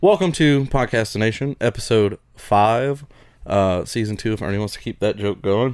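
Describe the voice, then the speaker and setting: A man with a Southern US accent at a moderate pace. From US South. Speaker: podcast host. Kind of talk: casual chat.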